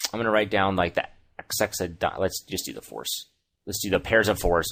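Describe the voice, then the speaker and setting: A man mumbles in a put-on character voice that is raspy and fairly low, at a moderate pace. His intonation stays fairly even while his loudness swings widely. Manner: mumbling.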